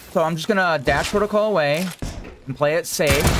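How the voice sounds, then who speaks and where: The voice is loud and moves at a very fast pace. Noticeable background noise runs underneath. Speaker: gaming youtuber. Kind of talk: gameplay tutorial commentary. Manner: casual.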